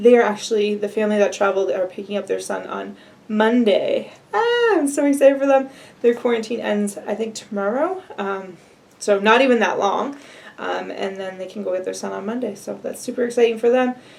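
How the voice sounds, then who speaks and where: A woman's fairly high voice at a fairly quick pace, with big swings in loudness, ordinary pitch variation and noticeable background noise. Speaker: vlogger. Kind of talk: casual vlog update. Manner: fast.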